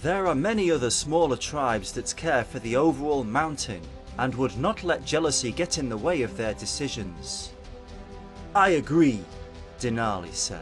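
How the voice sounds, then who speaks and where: Music plays in the background while a man speaks with very wide pitch swings. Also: medium pitch for a man, moderate pace. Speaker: voice actor. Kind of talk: fiction audiobook narration.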